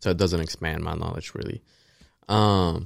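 Very deep, low-pitched man with monotone, flat intonation at a moderate pace, in a very clean recording with a silent background. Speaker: college student podcaster. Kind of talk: casual chat.

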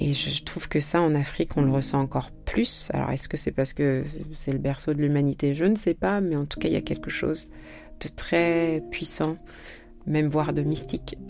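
A woman talks at a moderate speed. Behind her there is noticeable background noise. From France. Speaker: singer-songwriter. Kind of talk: interview.

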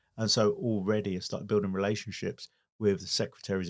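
A speaker with an English accent talks in monotone, flat intonation. The sound is dry and close with no echo, on a very clean recording with a silent background. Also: man. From England. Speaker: business owner and car event organiser. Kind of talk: interview.

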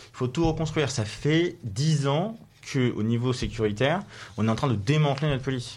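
The voice is somewhat breathy, moving at a moderate pace with big swings in loudness. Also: man, fairly high pitch for a man. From Paris region, France. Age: 20s. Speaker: young politician. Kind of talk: radio interview. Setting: studio. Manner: halting.

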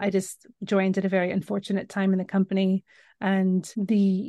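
A woman speaks with an American accent at a medium pitch. Her pace is moderate, and the background is quiet. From Northern California, US. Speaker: magazine editor and author.

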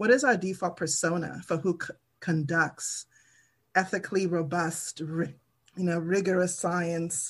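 Fairly low-pitched and somewhat breathy, a woman speaks at a fairly slow pace with fairly even intonation against a quiet background. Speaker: computing center director, panelist. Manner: measured, many filler pauses.

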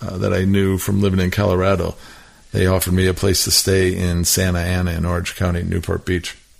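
Fairly even intonation marks this speaker's American accent. Noticeable background noise runs underneath. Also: man. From Milwaukee, Wisconsin. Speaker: music industry executive. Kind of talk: casual chat. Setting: in person at host's home.

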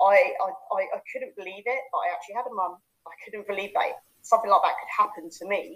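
A woman with a London accent speaks at a moderate pace, her pitch in the medium range. Her intonation is lively, and her loudness swings widely. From East London (Hackney). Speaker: life coach. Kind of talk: casual chat; guided visualisation demo.

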